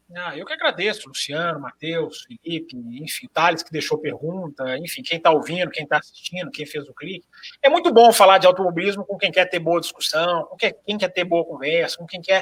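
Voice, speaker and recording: Speaking at a fairly quick pace, a high-pitched man uses ordinary pitch variation while his loudness swings widely. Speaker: motorsport journalist. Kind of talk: podcast panel chat.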